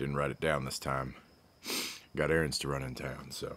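In an Appalachian accent, a man with a very deep, low pitch and vocal fry speaks in a flat monotone at a moderate pace. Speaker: hobby ammunition reloader. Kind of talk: casual talk to camera. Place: open country. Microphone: phone near.

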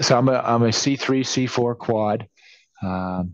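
A man is speaking against a quiet background. The sound is dry with no echo. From New England. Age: 60s. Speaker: participant with spinal cord injury. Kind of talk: casual video-call discussion. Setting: video call. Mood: candid, a bit rueful. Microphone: video call.

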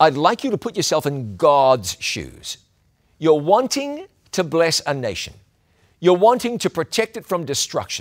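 A warm tone with very wide pitch swings at a moderate pace, against a quiet background. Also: man. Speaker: preacher. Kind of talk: sermon. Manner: earnest, warm, teaching tone. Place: studio.

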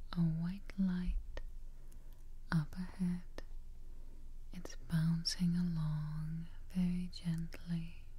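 Soft-spoken and somewhat breathy, a woman talks at a very slow pace in a fairly low, monotone, flat voice, with long, frequent pauses. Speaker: relaxation guide. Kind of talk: guided meditation, soft-spoken. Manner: soft, hushed guided-relaxation voice. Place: home room.

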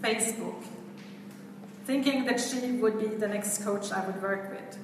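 A woman's voice comes with audible room echo. Background noise is noticeable. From Sweden. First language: Swedish. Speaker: event host and coach. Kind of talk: speaker introduction. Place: hall. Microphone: camera far.

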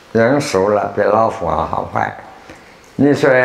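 Audible room echo surrounds a man talking at a fairly slow pace. His pitch varies in an ordinary way. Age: 80s+. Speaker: Buddhist teacher and lecturer. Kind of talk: lecture to students. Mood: humorous, smiling. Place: hall. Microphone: lapel.

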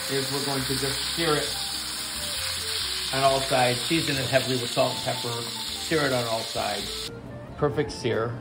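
Long, frequent pauses break up the speech while music plays in the background. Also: man, moderate pace. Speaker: home cook host. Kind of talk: casual cooking tutorial chat. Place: kitchen. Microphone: phone near.

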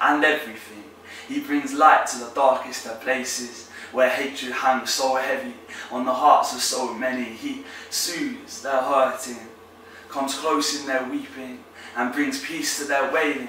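Over light background noise and audible room echo, a man speaks in a passionate tone. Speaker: spoken word poet. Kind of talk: performed spoken-word poem, faith-based. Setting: poetry competition entry. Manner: rhythmic, emphatic delivery with alliteration and rhyme; passionate, building, declamatory. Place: home room.

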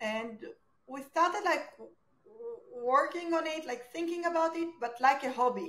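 Audible room echo surrounds a woman with an Israeli accent. She speaks at a high pitch and a moderate pace. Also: ordinary pitch variation. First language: Hebrew. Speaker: startup founder. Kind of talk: interview. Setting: video call. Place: home room. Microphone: video call.

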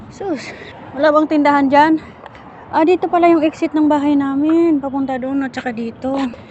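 A woman talks at a fairly quick pace in a high pitch. Noticeable background noise can be heard. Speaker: vlogger. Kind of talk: casual walking vlog. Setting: outdoors. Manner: animated.

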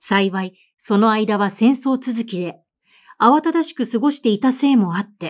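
A woman's fairly high-pitched voice at a fairly slow pace, with ordinary pitch variation, on a very clean recording with a silent background. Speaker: voice actor and narrator. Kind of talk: audiobook literary reading.

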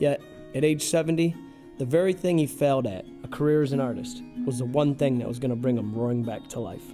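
Music plays in the background. The speech is very fast, with lively intonation. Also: man, medium pitch for a man. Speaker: filmmaker. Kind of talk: documentary trailer narration.

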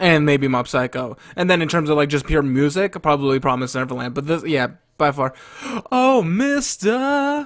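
Over a quiet background, a man talks with ordinary pitch variation and a moderate pace. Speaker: reaction video host. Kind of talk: casual reaction commentary. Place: home room. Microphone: studio mic.

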